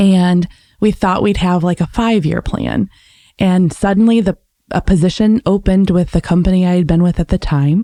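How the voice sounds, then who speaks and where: At a moderate pace, a woman speaks in a dark, mellow tone with very even loudness and fairly even intonation, the sound dry and close with no echo. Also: medium pitch for a woman. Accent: Midwestern. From US Midwest, Michigan. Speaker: podcast guest, relocated professional. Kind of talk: interview conversation.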